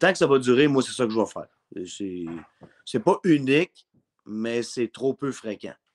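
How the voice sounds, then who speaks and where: A man with a Quebec accent speaks very slowly, his pitch swinging very widely and his loudness changing greatly. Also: medium pitch for a man. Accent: Québécois French. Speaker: sports broadcaster; radio host as guest. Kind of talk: casual chat. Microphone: webcam.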